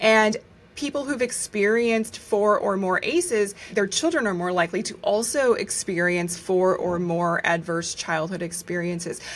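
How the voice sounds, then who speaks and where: Here is an unremarkable speaking voice with an American accent. It moves at a moderate pace with ordinary pitch variation. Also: woman, medium pitch for a woman. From United States. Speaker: medical journalist and author. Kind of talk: interview conversation.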